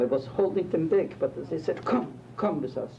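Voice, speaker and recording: A man's intonation is lively and his voice somewhat breathy. He talks at a moderate pace. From Poland. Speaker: rabbi, Holocaust survivor. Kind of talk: interview answer.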